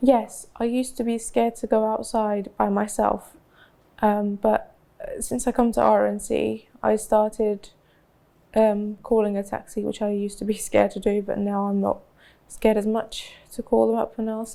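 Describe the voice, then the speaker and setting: A woman with a London accent talks at a moderate pace. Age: 20s. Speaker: college student. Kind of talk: casual chat.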